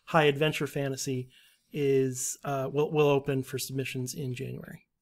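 An ordinary speaking voice from a man, fairly high in pitch, at a fairly quick pace with fairly even intonation, in a very clean recording over a silent background. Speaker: editorial assistant. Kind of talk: casual chat.

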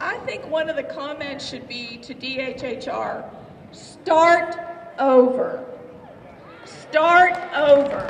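Over light background noise, a woman with an American accent talks at a high pitch and a very slow pace, with long, frequent pauses. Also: ordinary pitch variation. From West Virginia. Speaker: state legislator. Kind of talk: rally speech to a crowd. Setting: outdoor rally, crowd. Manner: earnest, rousing; warm, emotional. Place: street. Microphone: podium.

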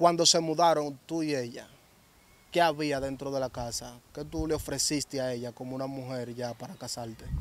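A man with a Dominican accent talks at a moderate pace with fairly even intonation and big swings in loudness, the sound dry with no echo. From Dominican Republic. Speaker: interviewer, channel host; interviewer. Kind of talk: interview. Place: open country. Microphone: handheld.

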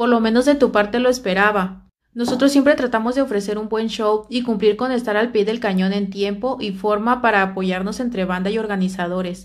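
Against a quiet background, a woman talks at a fairly quick pace with hardly any pauses. Her intonation is fairly even. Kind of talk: casual vlog chat, reading messages aloud. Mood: annoyed, complaining. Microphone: phone near.

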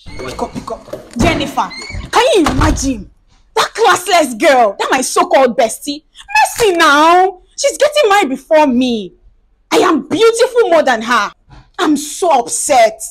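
A woman puts on a whiny character voice, pitched high with very wide swings. She talks at a moderate pace. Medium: comedy sketch. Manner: whiny, upset, self-pitying.

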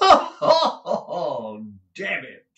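Audible room echo surrounds a man doing a put-on character voice with a bright, sharp tone at a fairly high pitch. He speaks at a very slow pace with very wide pitch swings.

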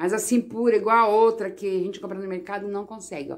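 In a normal speaking voice, a woman talks at a fairly quick pace with a fairly high pitch. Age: 50s. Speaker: vlogger; home cook vlogger. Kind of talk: casual home video talking to viewers. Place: home room.

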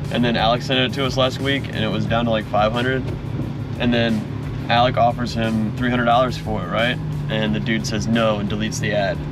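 A man's voice, dry with no echo, with music in the background. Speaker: passenger vlogger. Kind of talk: casual vlog chat. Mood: playful, laughing. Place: car.

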